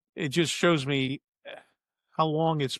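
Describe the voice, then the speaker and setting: A man's voice in a dry, close sound with no echo. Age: 70s. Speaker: retired broadcaster and broadcasting instructor. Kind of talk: casual chat. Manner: hesitant, many filler words.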